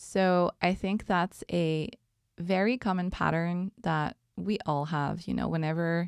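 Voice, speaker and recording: A woman speaks at a fairly slow pace with a Quebec accent, her fairly low pitch showing ordinary variation. The recording is very clean and dry, close with no echo and a silent background. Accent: French-Canadian accent in English. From Quebec, Montreal. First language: French. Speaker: podcast host. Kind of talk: casual monologue. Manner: relaxed, hesitant with many ums.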